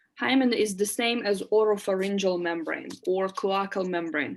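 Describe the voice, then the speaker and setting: Here a woman speaks with a Russian accent. The recording is very clean, with a silent background. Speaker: lecturer. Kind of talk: lecture.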